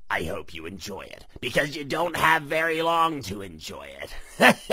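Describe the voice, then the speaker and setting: Using a raspy, cartoonish character voice, a man speaks at a moderate pace over light background noise. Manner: sarcastic, dismissive.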